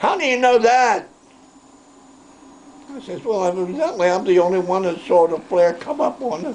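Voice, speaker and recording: A man talks with a high pitch and big swings in loudness. His long, frequent pauses come over noticeable background noise. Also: moderate pace. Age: 80s+. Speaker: war veteran. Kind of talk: interview answer.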